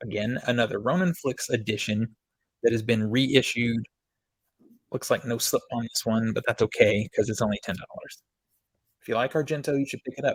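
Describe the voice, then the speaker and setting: Moderate-paced, somewhat breathy speech from a man of medium pitch, broken by long, frequent pauses, with a dry, close sound and no echo. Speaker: movie collector YouTuber. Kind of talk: casual product review. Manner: monotone.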